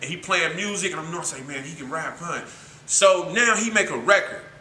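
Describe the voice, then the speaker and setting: Over noticeable background noise and audible room echo, a man talks at a fairly quick pace in an animated tone with ordinary pitch variation. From Vallejo, California (Bay Area). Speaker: rapper. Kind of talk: casual interview chat.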